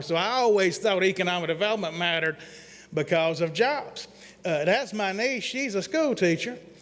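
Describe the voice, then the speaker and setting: A man speaks fairly quickly in a Southern accent, his pitch varying in an ordinary way. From Mississippi. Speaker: economic development consultant. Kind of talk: presentation to city council. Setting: council meeting at airport. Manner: fast; folksy.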